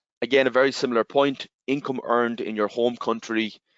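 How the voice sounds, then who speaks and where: A man speaks fairly quickly in an Irish accent. His intonation is monotone and flat. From Ireland. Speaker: tax software representative. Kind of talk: webinar presentation. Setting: online webinar.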